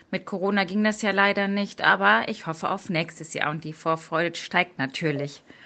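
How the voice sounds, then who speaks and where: The speech moves at a moderate pace with hardly any pauses. Pitch varies in an ordinary way. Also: woman, fairly low pitch for a woman. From Münsterland, Germany. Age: 30s. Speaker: police detective and triathlete. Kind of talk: interview. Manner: hesitant with frequent fillers.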